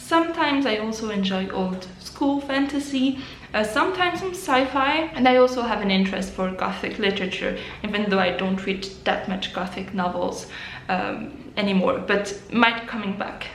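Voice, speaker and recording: With a slight French accent, a woman speaks at a fairly high pitch amid audible room echo and noticeable background noise. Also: lively intonation, moderate pace. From French-speaking Switzerland. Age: 20s. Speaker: book vlogger. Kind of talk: casual vlog to camera.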